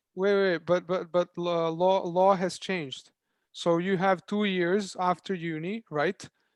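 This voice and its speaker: A man with a Serbian accent, high-pitched and monotone, at a fairly slow pace, with a dry, close sound with no echo against a quiet background. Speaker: startup founder. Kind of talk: panel Q&A. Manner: halting.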